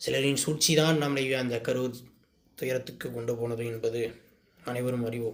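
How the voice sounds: Speaking at a medium pitch, a man keeps his intonation fairly even. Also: moderate pace.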